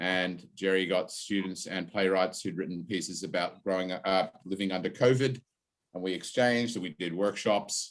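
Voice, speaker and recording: A man's fairly low voice with ordinary pitch variation. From Australia. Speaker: university drama lecturer. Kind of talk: online session introduction. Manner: hesitant, with fillers.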